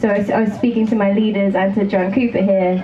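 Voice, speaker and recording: Over noticeable background noise and audible room echo, a woman with an American accent talks very fast in a medium pitch with fairly even intonation. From England. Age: 20s. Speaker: rock band drummer. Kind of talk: stage interview.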